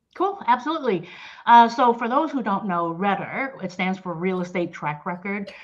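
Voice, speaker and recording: With lively intonation and a medium pitch, a woman speaks at a moderate pace over noticeable background noise. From New Orleans, Louisiana. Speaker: sales director. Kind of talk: interview.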